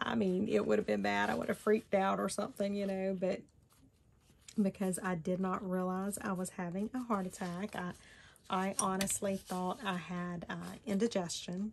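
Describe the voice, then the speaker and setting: A woman speaks in a monotone, flat intonation at a moderate pace. Light background noise can be heard. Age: 40s. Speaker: crafting YouTuber. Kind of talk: personal storytelling; crafting tutorial. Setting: home craft table, on camera. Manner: casual, hesitant with many fillers. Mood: reflective personal story.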